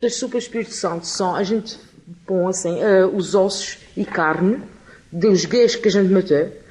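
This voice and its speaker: The pace is fairly slow. There is noticeable background noise. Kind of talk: interview answer.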